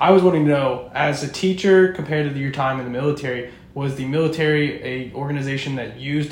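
A fairly high-pitched man talks at a fairly quick pace against noticeable background noise. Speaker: law student podcast co-host. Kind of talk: interview.

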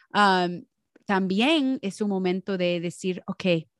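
The speech moves at a very slow pace. The recording is very clean with a silent background and a dry, close sound without echo. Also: woman. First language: English (speaking Spanish). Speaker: podcast co-host. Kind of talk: casual chat. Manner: halting, searching for Spanish words.

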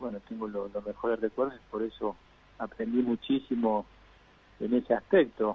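This man has a plain, everyday voice. His pace is moderate. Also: medium pitch for a man, fairly even intonation, big swings in loudness. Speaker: former professional footballer. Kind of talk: interview.

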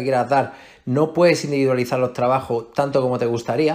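On a very clean recording with a silent background, a man speaks in a normal speaking voice at a medium pitch with fairly even intonation. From Melilla, Spain. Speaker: fitness coach. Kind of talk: interview.

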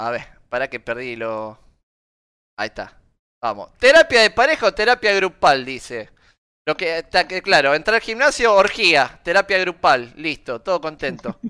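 Recorded very cleanly against a silent background with a dry, close sound and no echo, a man speaks at a moderate pace in a high, bright, sharp voice, his pitch swinging very widely and his loudness rising and falling a lot. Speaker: podcast co-host. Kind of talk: casual chat.

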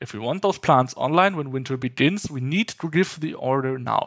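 Someone with a German accent speaks at a fairly slow pace with ordinary pitch variation. The recording is very clean with a silent background and a dry, close sound with no echo. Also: man. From Germany. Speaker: nuclear advocate and lab technician trainee. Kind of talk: interview conversation.

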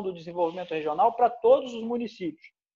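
This man's tone is dark and mellow. His pitch varies in an ordinary way. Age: 50s. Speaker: former footballer and local business leader. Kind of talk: casual interview chat.

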